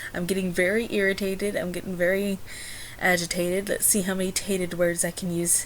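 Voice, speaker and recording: A woman with a fairly low pitch talks at a fairly quick pace amid noticeable background noise. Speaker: vlogger. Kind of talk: personal vlog. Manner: fast; rambling.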